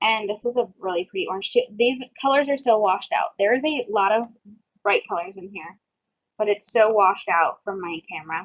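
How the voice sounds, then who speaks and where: A woman speaks with a fairly high pitch and ordinary pitch variation. Her loudness swings a lot over a quiet background. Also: fairly quick pace. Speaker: beauty vlogger. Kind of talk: product haul review. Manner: fast; casual, filler-heavy. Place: home room. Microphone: webcam.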